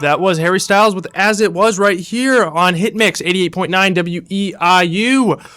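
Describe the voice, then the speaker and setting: Projecting a raised voice in an upbeat tone, a man speaks high-pitched at a moderate pace with hardly any pauses while music plays in the background. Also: ordinary pitch variation. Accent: American. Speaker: college radio DJ. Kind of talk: late-night radio DJ show. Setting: radio studio. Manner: casual, upbeat.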